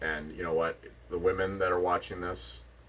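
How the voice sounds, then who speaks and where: A man with a western Canadian accent, fairly quick in pace. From Vulcan, Alberta, Canada. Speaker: podcast co-host. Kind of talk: casual chat.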